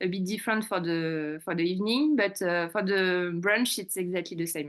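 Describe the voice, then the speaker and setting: Speaking with a French accent, a woman with a fairly low pitch shows big swings in loudness over a quiet background. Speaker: restaurant manager. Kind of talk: business presentation at a community meeting. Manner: halting, many fillers.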